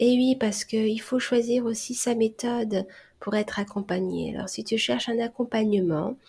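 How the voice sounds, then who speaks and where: A woman speaks fairly slowly in a dark, mellow, somewhat breathy tone. Her pitch is fairly high, with ordinary variation. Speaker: hypnotherapist and stop-smoking coach. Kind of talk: solo podcast monologue.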